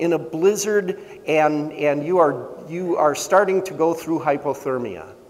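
Here a man is speaking. His pace is very slow. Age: 50s. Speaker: pastor. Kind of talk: sermon. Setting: church. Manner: halting, with fillers and repeats. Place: church.

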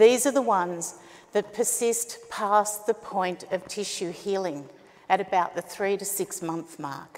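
With an Australian accent, a woman of medium pitch talks at a fairly slow pace, showing ordinary pitch variation and big swings in loudness. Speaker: startup founder. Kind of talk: pitch presentation. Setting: stage with audience. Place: stage.

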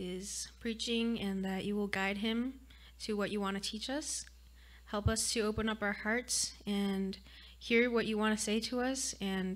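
The pace is fairly slow as a woman talks. She keeps a monotone, flat intonation. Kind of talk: spoken prayer. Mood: calm, gentle, reverent. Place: church. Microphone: studio mic.

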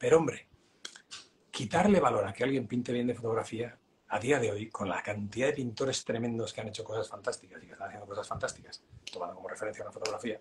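The pace is very fast as a man speaks. Light background noise is present. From Spain. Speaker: realist painter and teacher; teacher. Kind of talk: casual interview. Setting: live stream. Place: home room. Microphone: video call.

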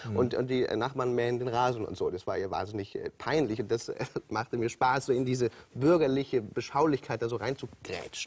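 At a fairly quick pace, a somewhat breathy man talks with fairly even intonation. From Hamburg. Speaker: TV presenter and comedian. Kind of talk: talk show interview answer. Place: studio. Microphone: lapel.

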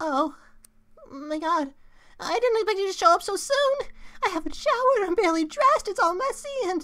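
A man uses a put-on character voice at an extremely high pitch. He moves at a fairly quick pace but leaves long, frequent pauses. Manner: nervous, rambling, stammering.

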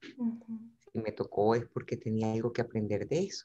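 Lively intonation marks a woman's dark, mellow voice. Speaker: coach. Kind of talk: interview answer. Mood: reflective, personal, warm. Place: home room. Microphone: video call.

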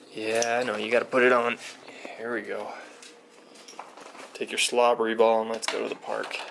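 Long, frequent pauses break up the monotone, flat delivery, with noticeable background noise behind it. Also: man, medium pitch for a man, moderate pace. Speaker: family vlogger. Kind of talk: casual vlog. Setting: outdoors.

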